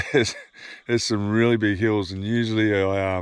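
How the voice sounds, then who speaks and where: A man with an Australian accent, monotone and flat, on a very clean recording with a silent background. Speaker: fishing vlogger. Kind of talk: casual vlog narration. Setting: outdoors, camping by a river.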